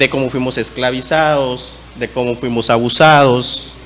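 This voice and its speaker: With audible room echo and noticeable background noise, a man talks at a very slow pace and medium pitch, with ordinary pitch variation. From eastern Guatemala, Ch'orti' Maya territory. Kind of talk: conference talk. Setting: conference panel.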